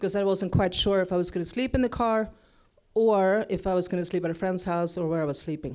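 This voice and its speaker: Someone with a Swedish accent talks very fast with ordinary pitch variation. The recording is very clean, with a silent background. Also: woman, medium pitch for a woman. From Sweden. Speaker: motivational speaker. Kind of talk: inspirational stage talk. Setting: stage with audience.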